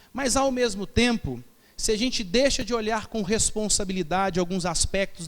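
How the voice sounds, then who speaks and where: There is audible room echo as a man speaks at a high pitch and a moderate pace with ordinary pitch variation. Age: 30s. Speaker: pastor. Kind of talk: sermon. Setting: church.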